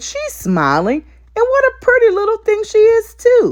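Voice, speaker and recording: Someone uses a squeaky, put-on character voice at an extremely high pitch and a moderate pace. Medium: read story.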